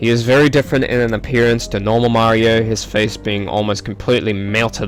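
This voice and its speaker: Music plays in the background. A man at medium pitch speaks at a moderate pace. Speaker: gaming youtuber. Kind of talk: let's play commentary reading in-game text.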